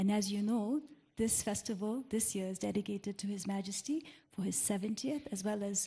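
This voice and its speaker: Speaking at a fairly quick pace, a woman has a medium pitch, ordinary pitch variation, and a dark, mellow tone that is somewhat breathy. The background is quiet. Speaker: moderator. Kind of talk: interview moderation.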